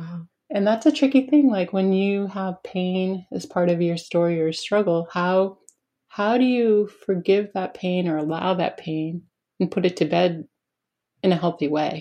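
A woman with an American accent and a plain, everyday voice speaks at a fairly slow pace in a medium pitch with ordinary pitch variation. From New Hampshire, US. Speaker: podcast host. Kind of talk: casual interview. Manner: warm, laughs often.

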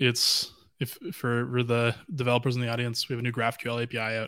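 A man with a western Canadian accent at a fairly quick pace, on a very clean recording with a silent background. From western Canada, Vancouver. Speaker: blockchain data lead. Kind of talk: casual interview.

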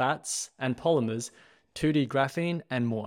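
This man speaks in an Australian accent at a moderate pace and medium pitch. The recording is very clean, with a silent background. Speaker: podcast host. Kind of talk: scripted podcast intro.

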